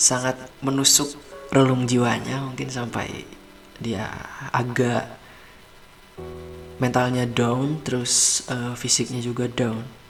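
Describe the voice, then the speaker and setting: Speaking very slowly with long, frequent pauses, a man in a relaxed tone keeps a monotone, flat intonation at a medium pitch while music plays in the background. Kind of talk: asmr bedtime story, storytelling to the listener. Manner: soft, relaxed, slow.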